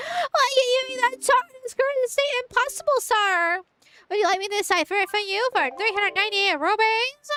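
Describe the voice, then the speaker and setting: In a put-on character voice, a woman talks fairly quickly with a nasal sound and an extremely high pitch. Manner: pushy, salesy.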